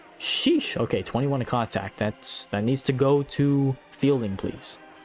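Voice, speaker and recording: A man's medium-pitched voice at a fairly slow pace, fairly even in intonation, with music behind him. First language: not English. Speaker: mobile game streamer. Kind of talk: live stream commentary. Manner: casual, chatty.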